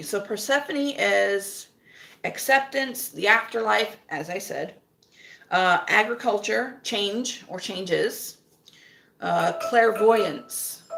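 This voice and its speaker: A woman's plain, everyday voice, fairly high in pitch, with an American accent. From US South. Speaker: witch vlogger. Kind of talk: casual chat. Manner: conversational, many fillers.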